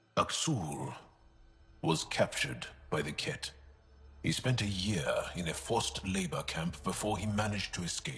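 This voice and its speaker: A man uses a put-on character voice with a very deep, low pitch. His pace is moderate, broken by long, frequent pauses. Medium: video game. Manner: relaxed, candid.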